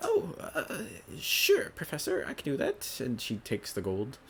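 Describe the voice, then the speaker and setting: Amid clear background noise, a man performs a put-on character voice. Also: moderate pace. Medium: actual play.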